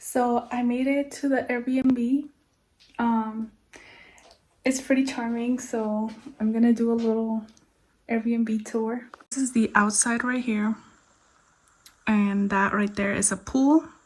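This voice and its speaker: A woman with a fairly high pitch speaks in a monotone, flat way at a very slow pace, leaving long, frequent pauses. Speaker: travel vlogger. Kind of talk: casual vlog narration. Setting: outdoors in a village. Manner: soft-spoken.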